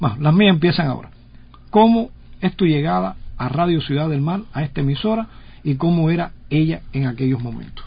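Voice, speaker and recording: Talking at a fairly quick pace, a man with a normal speaking voice uses a fairly high pitch and lively intonation. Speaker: radio host. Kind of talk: radio interview.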